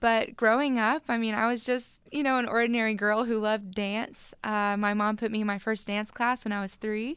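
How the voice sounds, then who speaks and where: The speaker has a Texan accent and a monotone, flat intonation, talking at a moderate pace with hardly any pauses. The recording is very clean, with a silent background. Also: woman, fairly high pitch for a woman. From Texas, military family that moved often. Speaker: former NFL cheerleader. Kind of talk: radio interview. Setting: radio studio.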